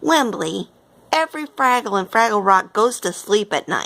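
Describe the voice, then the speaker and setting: A woman uses a put-on character voice with a fairly high pitch. She keeps a moderate pace. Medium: read story. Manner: reasonable, assured.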